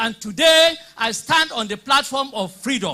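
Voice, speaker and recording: In a raised, projected voice, the speaker talks at a moderate pace with a bright, sharp, animated tone and very wide pitch swings. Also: man. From Nigeria. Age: 60s. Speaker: politician and former teacher. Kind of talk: public debate speech. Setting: hall with live audience.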